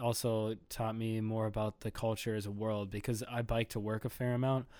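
Recorded very cleanly over a silent background, a man speaks with an Upper Midwest accent. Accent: Upper Midwest American. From US Midwest, Minnesota. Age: 20s. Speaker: lifestyle brand founder. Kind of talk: casual chat. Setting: home recording.

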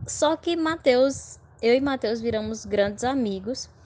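A woman speaks at a very slow pace. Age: 20s. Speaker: law student. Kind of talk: casual interview.

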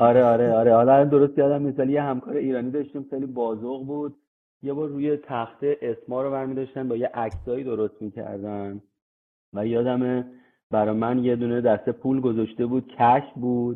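A man with a plain, everyday voice speaks at a fairly quick pace, his medium pitch held in a fairly even intonation. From Iran, Tehran (east Tehran). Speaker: construction technology manager (VDC/BIM). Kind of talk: interview.

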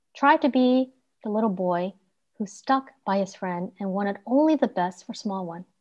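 Quiet surroundings behind an unforced voice reading aloud.

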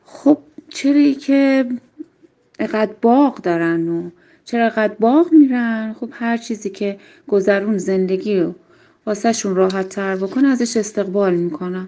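Fairly high-pitched woman with a Shirazi accent and lively intonation. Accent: Shirazi Persian. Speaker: local interviewee. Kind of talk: recorded voice message answers. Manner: thoughtful.

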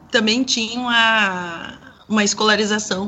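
A woman at a medium pitch and a very slow pace. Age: 40s. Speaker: sociologist and singer. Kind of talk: radio panel discussion.

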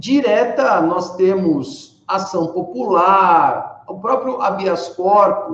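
A man speaks with a high pitch and lively intonation. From Brazil, Rio Claro (São Paulo state). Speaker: law professor. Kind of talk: panel discussion.

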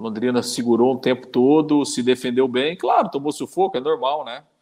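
A man talks fairly quickly in a plain, everyday voice at a medium pitch. The background is quiet, and his pitch variation is ordinary. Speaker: sports podcast co-host. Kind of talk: casual sports chat.

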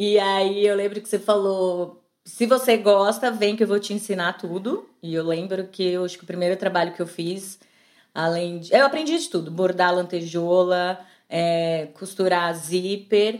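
On a very clean recording with a silent background, a woman with an ordinary speaking voice talks fairly slowly at a medium pitch, her intonation fairly even but her loudness swinging widely. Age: 40s. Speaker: artisan entrepreneur. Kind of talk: casual interview.

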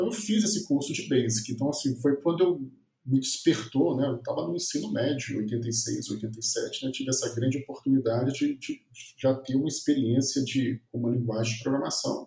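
A man speaks at a medium pitch and moderate pace. His intonation is lively. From Minas Gerais, Brazil (Viçosa). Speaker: computer science professor. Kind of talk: interview. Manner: halting.

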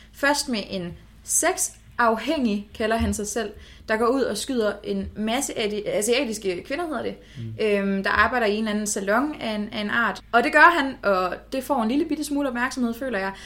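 In a bright, sharp tone, a woman with a fairly high voice speaks at a moderate pace. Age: 20s. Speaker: political science student. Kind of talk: casual chat. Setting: in a flat, recording in person.

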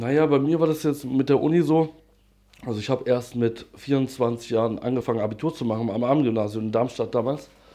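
At a fairly quick pace, a man speaks with medium pitch, ordinary pitch variation and a dark, mellow tone. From Hesse, near Frankfurt am Main. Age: 30s. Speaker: interviewee on drug use. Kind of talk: casual interview.

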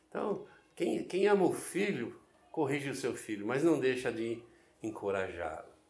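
Music plays behind a man who speaks at a fairly slow pace with a fairly high pitch. His pitch swings very widely, and the room echo is audible. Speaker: pastor. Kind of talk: sermon.

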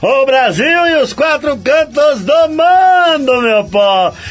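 His intonation is lively as he talks. Behind him, music is playing. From Paraíba, Brazil. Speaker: radio host. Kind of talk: radio show presenting. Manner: animated.

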